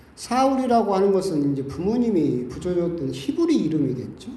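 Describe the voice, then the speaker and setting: A man speaks at a moderate pace with a high pitch. Audible room echo surrounds his voice. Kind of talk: sermon. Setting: church.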